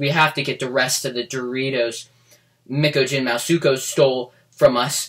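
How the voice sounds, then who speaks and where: A man puts on a character voice at medium pitch and a moderate pace. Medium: read story.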